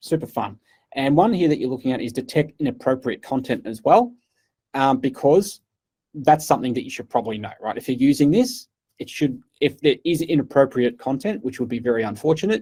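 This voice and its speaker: A man with an Australian accent, fairly high pitch, a dark, mellow tone, lively intonation and a fairly quick pace. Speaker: cloud partner engineer giving keynote. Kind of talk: keynote talk. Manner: fast.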